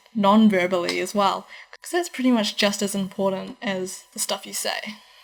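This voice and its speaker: A woman with a New Zealand accent. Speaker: university student vlogger. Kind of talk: advice vlog. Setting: in her room. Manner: fast. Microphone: laptop recording, audio changes throughout.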